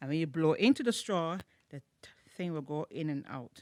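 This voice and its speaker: A woman speaks with a very deep, low pitch at a moderate pace. The recording is very clean with a silent background. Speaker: children's church teacher. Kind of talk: craft tutorial for children.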